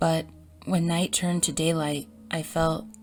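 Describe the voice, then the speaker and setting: A woman talks at a moderate pace, her intonation fairly even, as music plays in the background. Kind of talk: horror story narration.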